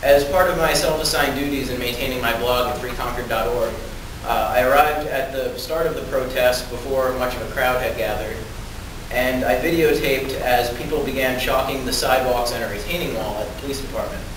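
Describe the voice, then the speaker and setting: A man at a fairly quick pace with fairly even intonation, amid noticeable background noise and audible room echo. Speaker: public commenter. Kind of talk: prepared public testimony. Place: hall. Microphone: camera far.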